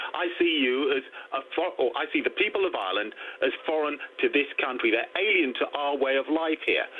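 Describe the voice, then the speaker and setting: Over noticeable background noise, someone talks at a fairly quick pace with an English accent. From England. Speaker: caller. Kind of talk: heated debate. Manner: forceful.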